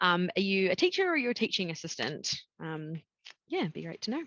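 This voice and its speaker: In a New Zealand accent, a woman speaks with a dry, close sound that has no echo, over a quiet background. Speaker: education recruitment consultant. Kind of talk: webinar presentation. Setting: video call webinar. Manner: casual, frequent 'um' fillers.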